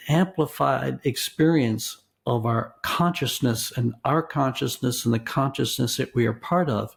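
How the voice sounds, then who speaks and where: Vocal fry colors speech delivered at a fairly slow pace. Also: man. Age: 70s. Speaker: philosophy and religious studies professor. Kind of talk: interview. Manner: halting; thoughtful.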